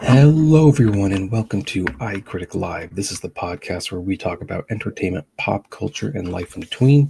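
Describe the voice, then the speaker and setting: A man with a fairly low pitch, dark, mellow tone and somewhat breathy quality, lively intonation at a moderate pace, in a dry, close sound with no echo. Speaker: film critic and podcast host. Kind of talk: live-stream reaction chat. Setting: home live stream, early morning. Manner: speaking quieter than usual. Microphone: live stream audio quieter than usual.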